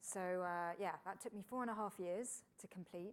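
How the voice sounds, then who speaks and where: A woman with a British accent, medium in pitch, at a moderate pace. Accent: British, mistaken for Florida. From UK. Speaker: engineer and science broadcaster. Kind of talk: interview conversation. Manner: casual, with frequent fillers.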